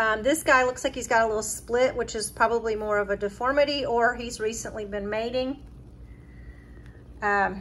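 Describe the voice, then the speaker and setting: Moderate pace and fairly even intonation over light background noise. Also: woman. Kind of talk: tutorial. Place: home room. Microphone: phone near.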